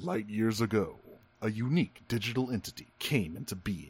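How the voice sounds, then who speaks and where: A man does a put-on character voice at a medium pitch. His intonation is lively and his pace moderate. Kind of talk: dramatic narration.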